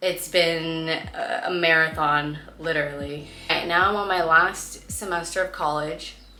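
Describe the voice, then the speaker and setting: A woman's fairly low voice in monotone, flat intonation, with noticeable background noise. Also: fairly slow pace. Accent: Californian. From California. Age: 20s. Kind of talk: casual storytime talk to camera.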